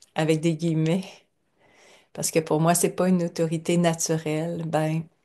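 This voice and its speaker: Against a quiet background, a woman with a dark, mellow tone speaks at a moderate pace in a flat monotone. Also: fairly low pitch for a woman. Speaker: lecturer. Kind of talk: lecture. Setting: at home.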